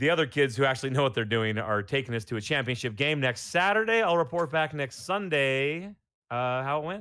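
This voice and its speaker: Lively intonation and a fairly high pitch carry this man's speech at a fairly quick pace. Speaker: podcast host; youth football coach. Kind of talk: casual chat. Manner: loud.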